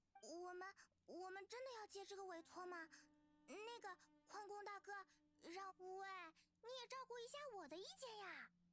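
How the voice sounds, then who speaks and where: A female-sounding put-on character voice, extremely high-pitched, moderate pace with long, frequent pauses. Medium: video game. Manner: chatty.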